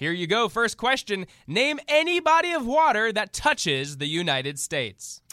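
A man speaks in a raised, projected voice with an animated, bright, sharp tone, a high pitch and very wide pitch swings. He keeps a moderate pace with hardly any pauses, and the sound is dry and close with no echo. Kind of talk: comedy sketch with game-show host and satirical character voices. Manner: over-the-top cheery game-show announcer patter, exaggerated and animated.

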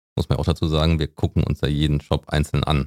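Very deep and low, a man's voice rushes along at a very fast pace in a dry, close sound with no echo. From rural Germany. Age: 40s. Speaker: online community co-founder, editorial head. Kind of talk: casual interview.

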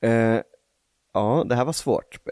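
The sound is dry and close, with no echo. A man is talking. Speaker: podcast co-host. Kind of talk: casual chat.

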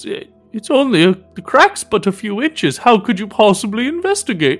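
Faint music plays in the background as a man in a put-on character voice speaks at a moderate pace with a high pitch. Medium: actual play. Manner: proud, slightly flustered.

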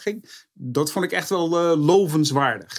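The very clean recording, with a silent background, captures a man's fairly high pitch and ordinary pitch variation. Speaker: motorsport pundit. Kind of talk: casual chat. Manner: halting.

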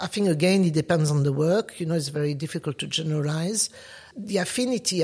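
A woman speaks with a French accent. Her pitch is very deep and low, and her voice is somewhat breathy. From France, Paris. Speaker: artist. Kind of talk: interview.

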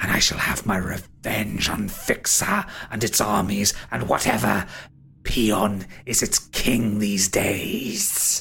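Using a put-on character voice, a man talks at a fairly slow pace and a fairly low pitch. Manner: taunting, silky, menacing; condescending, impatient.

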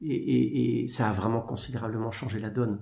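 A man is speaking. His intonation is lively. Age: 40s. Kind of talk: interview. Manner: halting.

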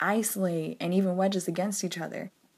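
A woman with an American accent in an ordinary speaking voice, fairly low in pitch, on a very clean recording with a silent background. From US South (Georgia, Arkansas, North Carolina). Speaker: education advocate. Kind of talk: recorded voice memo.

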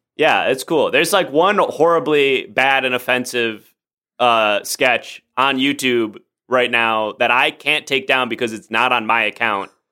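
In an American accent, a man talks at a medium pitch with a bright, sharp tone. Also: ordinary pitch variation, fairly slow pace. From US Midwest, Chicago suburbs (Oak Park). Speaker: improv comedian. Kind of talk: casual chat. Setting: home studio, remote recording.

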